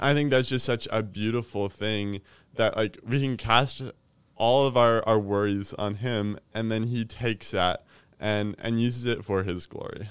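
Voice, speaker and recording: In an American accent, a man with an unremarkable speaking voice and medium pitch talks at a fairly slow pace with fairly even intonation, on a very clean recording with a silent background. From Kentucky, US. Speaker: program director, ministry leader. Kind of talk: casual interview conversation.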